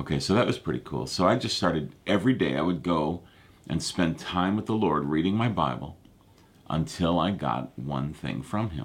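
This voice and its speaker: Moderate pace with vocal fry. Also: man, very deep, low pitch for a man. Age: 50s. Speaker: pastor. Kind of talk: live prayer and prophecy broadcast. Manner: casual, halting with fillers.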